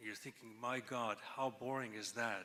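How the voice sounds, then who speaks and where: A man speaks at a moderate pace with ordinary pitch variation, and there is noticeable noise behind him. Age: 60s. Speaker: cancer researcher giving convocation address. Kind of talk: convocation speech.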